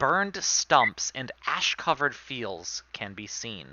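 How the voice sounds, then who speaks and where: Using a Rhode Island accent, a man speaks very slowly with vocal fry and very wide pitch swings. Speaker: game master. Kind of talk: tabletop role-play narration; reading aloud. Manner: hesitant, many fillers.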